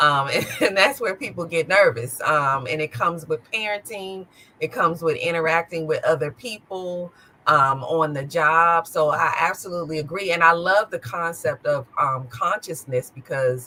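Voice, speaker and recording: An ordinary speaking voice from a woman, fairly low in pitch, with lively intonation. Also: moderate pace. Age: 50s. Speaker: podcast host. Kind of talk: interview.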